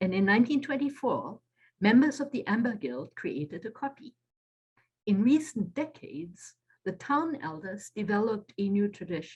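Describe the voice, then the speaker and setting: Somewhat breathy, a woman's voice sits at a fairly high pitch and makes very wide pitch swings. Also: moderate pace. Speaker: author. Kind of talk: lecture. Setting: video call.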